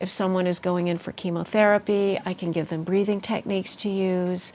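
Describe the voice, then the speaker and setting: A woman speaks at a fairly quick pace in a medium pitch, her intonation monotone and flat. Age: 60s. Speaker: healer and meditation teacher. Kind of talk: interview.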